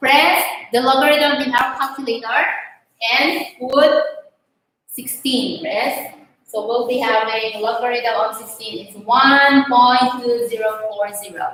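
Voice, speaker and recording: A woman with a high pitch speaks at a fairly slow pace with ordinary pitch variation. Her loudness swings widely, and room echo is audible. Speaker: math teacher. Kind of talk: online lesson. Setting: online class.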